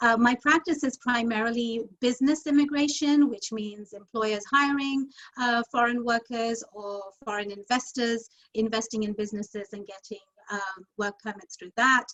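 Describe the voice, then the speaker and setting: A woman with a London accent, big swings in loudness, and ordinary pitch variation. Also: fairly high pitch for a woman, moderate pace. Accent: British (London). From London, England. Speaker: immigration lawyer. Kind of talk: interview.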